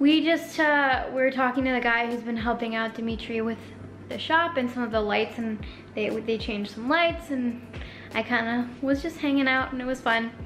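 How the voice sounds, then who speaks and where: Faint music plays in the background as a woman speaks in a high voice with ordinary pitch variation. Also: moderate pace. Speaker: vlogger. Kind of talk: casual vlog chat. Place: kitchen. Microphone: phone near.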